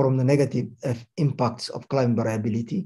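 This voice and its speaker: Over a quiet background, a man's somewhat breathy voice has a dark, mellow tone and ordinary pitch variation. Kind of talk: formal address. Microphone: video call.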